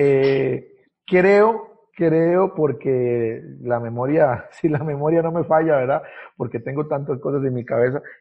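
A man with a fairly high pitch and ordinary pitch variation talks fairly slowly. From southern Costa Rica, Ciudad Neily near Panama border. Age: 30s. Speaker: pastor. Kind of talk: casual interview. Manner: halting, many repetitions.

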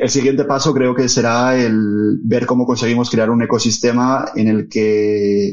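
A man's medium-pitched voice with monotone, flat intonation at a fairly slow pace. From Asturias, Spain (Oviedo). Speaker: tech business lead, physicist. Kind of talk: interview conversation.

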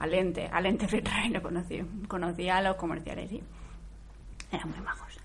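A woman speaks in an animated tone. Audible room echo and noticeable background noise surround her voice. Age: 40s. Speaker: TV series commentator. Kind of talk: live commentary.

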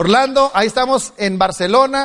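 An animated man speaks with ordinary pitch variation. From Mexico, Culiacán, Sinaloa. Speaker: motivational speaker. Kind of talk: motivational speech. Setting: stage with audience.

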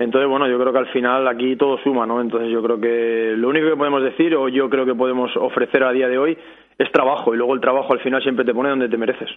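A very fast pace with monotone, flat intonation. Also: man, medium pitch for a man, very even loudness. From Barcelona, Catalonia. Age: 30s. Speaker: footballer (goalkeeper). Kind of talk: casual interview.

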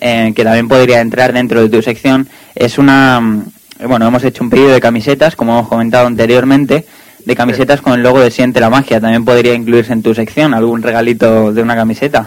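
At a very fast pace, a man delivers his words at a medium pitch in a flat monotone with very even loudness. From Spain. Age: young. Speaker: radio host. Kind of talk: casual chat. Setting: studio.

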